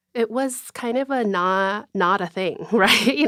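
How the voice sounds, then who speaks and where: At a fairly slow pace, a woman with an American accent speaks with ordinary pitch variation. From South Korea, then US from age nine. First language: Korean. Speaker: writer and mental health advocate. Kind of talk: interview.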